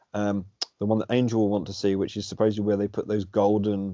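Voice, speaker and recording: Speaking with a British accent, a man uses a fairly low pitch. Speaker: alternative history debater, channel host. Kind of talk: casual chat. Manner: loud; animated.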